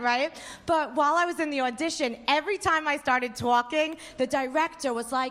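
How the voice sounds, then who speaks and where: In a strong New York accent, a woman talks at a fairly quick pace. Her pitch is high, with ordinary pitch variation. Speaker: stand-up comedian. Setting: stage.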